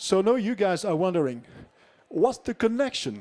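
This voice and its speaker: A man with an American accent talks at a moderate pace, his high pitch making very wide swings. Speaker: nuclear engineer. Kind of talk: conference talk. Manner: halting.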